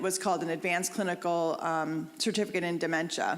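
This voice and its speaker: A woman's fairly low voice at a moderate pace, with audible room echo. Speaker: hospital social worker and counselor. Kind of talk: lecture. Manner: loud.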